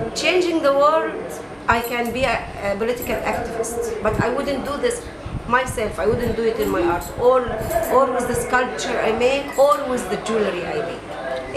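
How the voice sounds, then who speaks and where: A high-pitched woman with an Egyptian accent, ordinary pitch variation, and a moderate pace over loud background noise. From Egypt, Cairo. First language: Arabic. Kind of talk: interview. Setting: gallery. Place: shop. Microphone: camera far.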